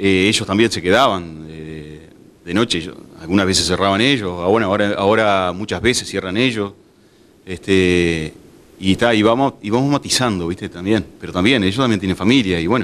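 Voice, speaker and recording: Speech moves at a fairly quick pace. The pitch shifts in an ordinary way. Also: man, fairly low pitch for a man. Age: 40s. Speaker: bar owner; interviewee. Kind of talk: interview. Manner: halting, many fillers. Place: bar. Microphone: handheld.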